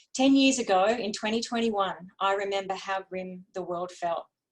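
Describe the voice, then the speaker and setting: With an Australian accent, a woman reads at a moderate pace and medium pitch, using ordinary pitch variation. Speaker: women's health advocate. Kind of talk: prepared speech. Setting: webinar.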